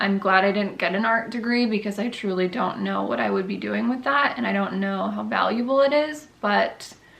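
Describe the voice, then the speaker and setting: Audible room echo surrounds this woman's voice as she talks. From Connecticut. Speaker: lifestyle vlogger. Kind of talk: casual chat.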